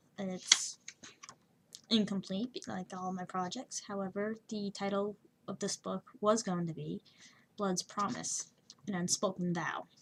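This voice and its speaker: Noticeable background noise sits behind a woman with a medium pitch. Her intonation is fairly even, and she leaves long, frequent pauses. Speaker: amateur writer. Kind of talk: casual talk to camera.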